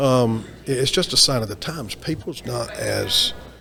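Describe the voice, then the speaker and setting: A man with an American accent talks at a fairly slow pace. Music plays in the background. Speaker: maintenance and reliability professional. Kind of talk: interview. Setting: onsite at a trade event.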